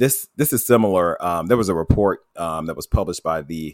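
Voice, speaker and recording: A man speaks with an American accent and lively intonation. The sound is dry and close, with no echo. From US South, Tuscaloosa, Alabama. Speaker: health equity director. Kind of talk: interview. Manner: hesitant, repeats words.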